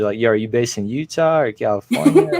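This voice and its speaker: A man speaks at a medium pitch. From US, moved from Russia at age two. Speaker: FPV drone filmmaker. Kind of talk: interview. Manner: animated.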